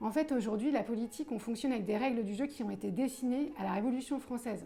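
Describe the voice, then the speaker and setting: Against noticeable background noise, a woman talks very fast at a fairly high pitch with ordinary pitch variation. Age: 40s. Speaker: political candidate. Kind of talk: interview. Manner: hesitant, many filler sounds.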